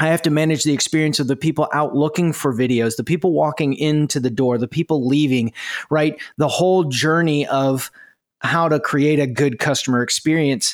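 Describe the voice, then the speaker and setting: In a very clean recording with a silent background, a man uses a plain, everyday voice at a fairly high pitch. His pace is moderate, his intonation fairly even, and his loudness very even. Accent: General American. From United States. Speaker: podcast host. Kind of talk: casual interview.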